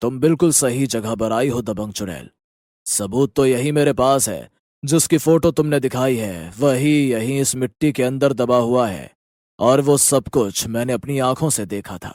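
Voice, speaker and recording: Doing a cartoonish character voice at a medium pitch, a man speaks at a moderate pace on a very clean recording with a silent background. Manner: calm, measured.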